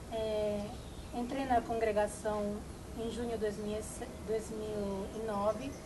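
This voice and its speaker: A fairly high-pitched female voice at a very slow pace, with noticeable background noise and audible room echo. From Italy. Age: 20s. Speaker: novice nun. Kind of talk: testimony. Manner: halting.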